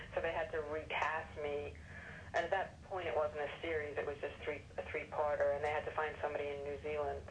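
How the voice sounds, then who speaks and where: A woman with an American accent talking at a fairly quick pace, with noticeable background noise. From London area, England. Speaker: actress. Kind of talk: casual interview.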